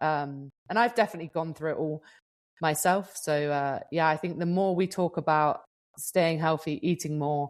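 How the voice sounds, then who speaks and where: With a British accent, a woman speaks at a moderate pace in a very deep, low pitch and fairly even intonation over a quiet background. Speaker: professional gravel racer and podcast co-host. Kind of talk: podcast interview. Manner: casual, chatty with fillers.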